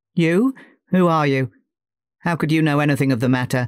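A man's put-on character voice, shaky and fairly high in pitch, at a fairly quick pace. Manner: nervous, pleading.

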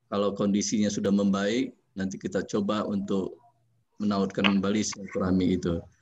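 A man with a fairly low pitch speaks against light background noise. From Jambi, Sumatra, Indonesia; Indonesia. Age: 40s. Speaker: government architect; webinar speaker. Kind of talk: webinar talk. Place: office. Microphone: video call.

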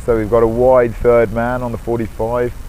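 Over noticeable background noise, a man speaks fairly slowly at medium pitch in a flat monotone. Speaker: cricket commentator. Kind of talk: live ball-by-ball cricket commentary, tracking scores and run rates. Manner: analytical, narrating match situation and pressure.

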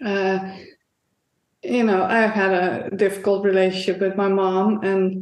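Speaking fairly slowly with a Dutch accent, a woman keeps a medium pitch and a monotone, flat intonation. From Netherlands. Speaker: painter. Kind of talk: interview.

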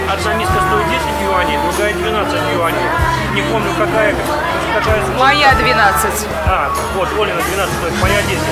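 Loud music plays behind a man who speaks very slowly with long, frequent pauses. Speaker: travel vlogger. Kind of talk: casual vlog chat.

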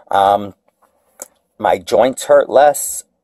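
There is no echo, and the sound is dry. A man talks with a quiet background behind him. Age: 40s. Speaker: video blogger. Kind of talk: tutorial; casual vlog chat. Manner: halting, many fillers. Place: kitchen. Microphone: phone near.

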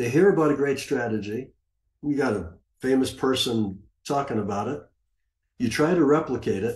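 In a room with audible echo, a somewhat breathy man talks at a moderate pace with lively intonation and long, frequent pauses. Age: 70s. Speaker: retired trader and former money manager; conference presenter. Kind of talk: conference presentation. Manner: casual, with many fillers. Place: home room. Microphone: webcam.

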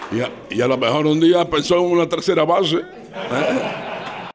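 A man talks with vocal fry. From Dominican Republic. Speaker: radio announcer and journalist. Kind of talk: public lecture. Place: hall. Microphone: handheld.

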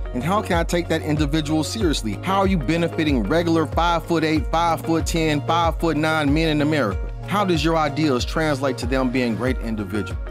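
The sound is dry with no echo, and clear music plays in the background. A man speaks at a fairly quick pace. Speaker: commentator podcaster. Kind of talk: opinion commentary. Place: home room. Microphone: studio mic.

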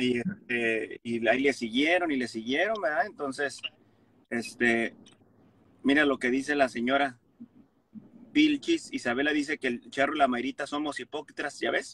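The speech moves at a moderate pace with long, frequent pauses. Pitch varies in an ordinary way, and the sound is dry with no echo. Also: man, fairly high pitch for a man. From Mexico. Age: 30s. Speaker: comedian. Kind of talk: casual chat. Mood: conciliatory, relaxed. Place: car. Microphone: phone near.

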